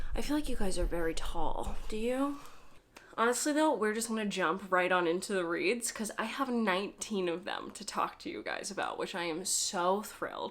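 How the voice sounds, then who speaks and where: With audible room echo, a woman speaks at a moderate pace in a fairly high pitch with lively intonation. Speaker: book reviewer. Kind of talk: casual chat.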